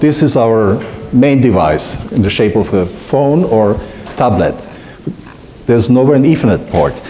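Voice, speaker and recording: This man has a medium pitch and lively intonation. Noticeable background noise and audible room echo surround him. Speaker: solutions engineer. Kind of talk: conference talk.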